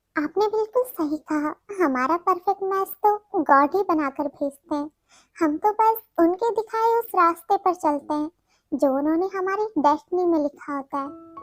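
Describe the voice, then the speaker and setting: A woman's put-on character voice, extremely high in pitch, with lively intonation at a moderate pace, in a dry, close recording with no echo. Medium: read story. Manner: sweet, cheerful.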